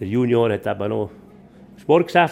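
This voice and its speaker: A man speaks at a medium pitch. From Switzerland, Bernese Oberland (Adelboden). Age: 60s. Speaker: farmer and former skier. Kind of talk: casual chat.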